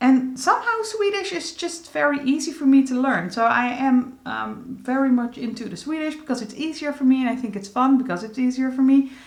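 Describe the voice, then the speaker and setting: Against noticeable background noise, a high-pitched woman with a Dutch accent speaks with hardly any pauses. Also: fairly quick pace. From Netherlands. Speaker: beauty vlogger. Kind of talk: casual vlog update. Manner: halting, frequent fillers.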